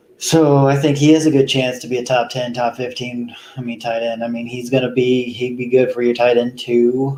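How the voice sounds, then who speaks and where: With noticeable background noise, a man of medium pitch talks at a moderate pace with hardly any pauses, a monotone, flat intonation and big swings in loudness. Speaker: fantasy football podcast host. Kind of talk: casual solo talk. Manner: hesitant, many ums.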